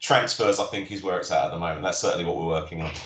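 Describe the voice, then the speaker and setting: Noticeable background noise and audible room echo. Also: man. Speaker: critical care and air ambulance paramedic. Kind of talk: career talk Q&A on a live webinar. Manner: fast; hesitant, many fillers.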